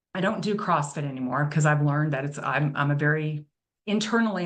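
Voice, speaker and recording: This woman has a very deep, low pitch and an American accent. She talks at a very fast pace. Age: 60s. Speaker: nutrition and lifestyle coach. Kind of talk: interview conversation.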